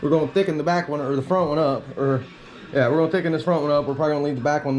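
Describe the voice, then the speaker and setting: With noticeable background noise behind him, a man talks in fairly even intonation. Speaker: RC car YouTuber. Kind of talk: hands-on product tutorial. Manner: fast; casual.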